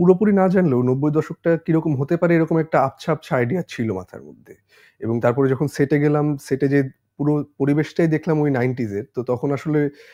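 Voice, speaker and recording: A man's fairly high voice with a dark, mellow tone shows ordinary pitch variation and big swings in loudness, with a dry, close sound with no echo and a quiet background. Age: 20s. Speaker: actor. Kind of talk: casual chat.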